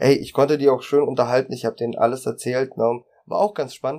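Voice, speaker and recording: Moving at a moderate pace, a man speaks in a dark, mellow tone. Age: 30s. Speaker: union youth representative. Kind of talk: casual chat.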